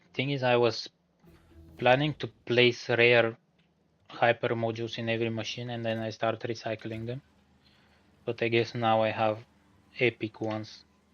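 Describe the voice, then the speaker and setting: This man's voice sits at a medium pitch and carries a non-native accent. His intonation is flat and monotone, broken by long, frequent pauses. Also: moderate pace. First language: not English. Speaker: gaming streamer. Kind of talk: live gameplay stream with chat reading. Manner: casual, relaxed.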